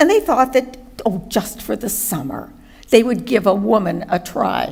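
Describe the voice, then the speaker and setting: A woman's fairly high voice with lively intonation at a moderate pace over noticeable background noise. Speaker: retired chemist, war veteran of home front. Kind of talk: reading aloud a memoir.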